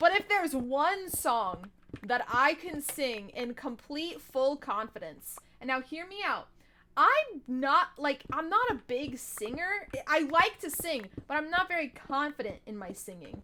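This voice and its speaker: Raised and projected, a woman's high-pitched voice moves at a fairly slow pace with very wide pitch swings and big swings in loudness. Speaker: gaming streamer. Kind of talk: live gameplay stream chat. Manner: casual, chatty.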